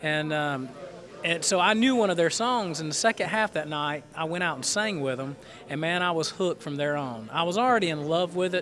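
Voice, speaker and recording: A man's high-pitched voice with a Southern US accent, lively intonation and a fairly quick pace. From North Carolina, Goldsboro. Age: 30s. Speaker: gospel quartet tenor singer. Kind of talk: radio interview. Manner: halting.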